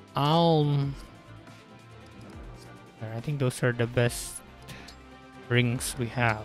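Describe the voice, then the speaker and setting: A man with a medium pitch and ordinary pitch variation speaks at a very slow pace with long, frequent pauses. Music plays in the background, and the sound is dry with no echo. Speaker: gamer streamer. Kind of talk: casual gameplay commentary. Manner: hesitant, some stutters and pauses. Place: home room.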